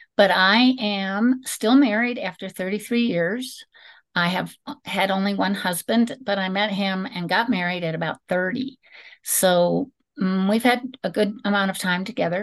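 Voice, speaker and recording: Against a quiet background, a woman speaks in a normal speaking voice at a fairly slow pace with ordinary pitch variation. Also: medium pitch for a woman. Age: 60s. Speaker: teacher and musician. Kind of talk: personal testimony interview.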